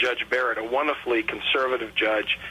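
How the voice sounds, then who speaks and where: Against noticeable background noise, a man talks at a medium pitch and a fairly quick pace. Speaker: political candidate and lawyer being interviewed on radio. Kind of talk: radio interview answer, political talk.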